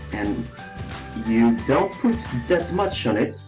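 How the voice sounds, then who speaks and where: Music plays behind a voice that speaks at a very slow pace. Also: man. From Netherlands. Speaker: male friend of the channel owner, not a makeup expert. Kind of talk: comedic voiceover commentary on a makeup tutorial. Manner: hesitant, unsure, naive.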